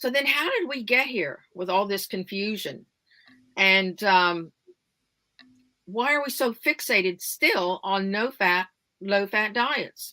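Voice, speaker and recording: Pausing long and often at a very slow pace, a woman with an American accent uses lively intonation at a medium pitch, her tone bright and sharp. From United States. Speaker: wellness advocate. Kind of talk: interview.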